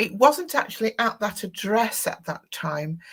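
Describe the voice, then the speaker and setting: A woman is speaking. There's a somewhat breathy quality to her voice. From northern England. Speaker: tarot teacher and psychic medium. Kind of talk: live interview chat. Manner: halting, many fillers and restarts.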